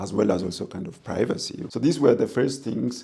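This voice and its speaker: Speaking at a moderate pace, the voice carries an Ethiopian accent and ordinary pitch variation. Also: man. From Ethiopia, Kambata region. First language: Kambata. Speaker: professor of international relations. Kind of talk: interview. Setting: in person over coffee. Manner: halting.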